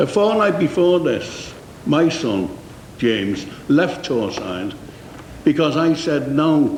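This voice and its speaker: Over noticeable background noise and audible room echo, a man with a fairly high voice swings very widely in pitch, talking at a very slow pace with long, frequent pauses. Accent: Liverpool. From Liverpool, England. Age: 60s. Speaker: company manager giving evidence. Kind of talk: committee testimony. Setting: parliamentary committee room. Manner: halting.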